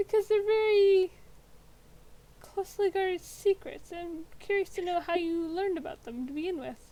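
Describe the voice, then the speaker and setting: Using a squeaky, put-on character voice at an extremely high pitch, a woman speaks at a moderate pace with big swings in loudness. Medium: actual play. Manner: calm, knowing, probing.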